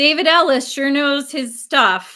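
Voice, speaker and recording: A woman speaks in a raised, projected voice at a high pitch. Her tone is bright and sharp. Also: very clean recording, silent background. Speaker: record collector and live streamer. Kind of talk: casual live stream chat. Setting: live stream with chat.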